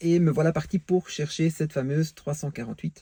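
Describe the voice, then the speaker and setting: A man with a Belgian accent speaks at a moderate pace in a fairly high, somewhat breathy voice with a dark, mellow tone and a dry, close sound with no echo. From Belgium. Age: 40s. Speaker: car enthusiast vlogger. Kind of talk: casual vlog monologue. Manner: hesitant, many fillers.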